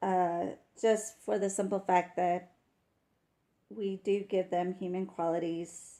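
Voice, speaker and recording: A woman with a slight Texas accent speaks at a medium pitch in a dark, mellow tone with fairly even intonation. Her pace is very slow with long, frequent pauses, on a very clean recording with a silent background. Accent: slight Texas twang. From West Texas. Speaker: wildlife camera commentator. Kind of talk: live commentary. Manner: casual, chatty with fillers.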